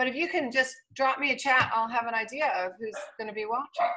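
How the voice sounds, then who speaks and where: A woman's high, raised and projected voice, bright and sharp in tone, with ordinary pitch variation. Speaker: equestrian coach giving a presentation. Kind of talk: online presentation.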